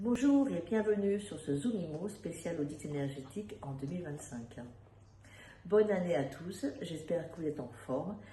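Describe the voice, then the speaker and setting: Over light background noise, a woman puts on a hoarse character voice, fairly low in pitch with very wide pitch swings, at a moderate pace. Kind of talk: professional webinar host.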